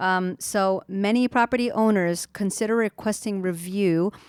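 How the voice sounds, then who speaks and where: A woman talks in a normal speaking voice at a medium pitch with fairly even intonation. The sound is dry and close, with no echo. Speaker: real estate agent, co-host. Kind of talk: reading aloud from a blog in a podcast chat.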